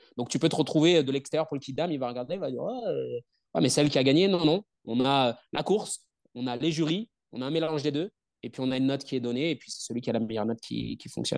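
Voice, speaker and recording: Very fast and fairly high-pitched, a man talks with ordinary pitch variation in a dry, close sound with no echo. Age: 30s. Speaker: strength and conditioning coach. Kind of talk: interview. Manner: talkative.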